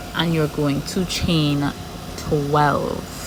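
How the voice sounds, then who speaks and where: The speaker has a strong Trinidadian accent. Noticeable background noise runs underneath. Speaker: crochet tutorial creator. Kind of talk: tutorial. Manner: regular speed, step-by-step.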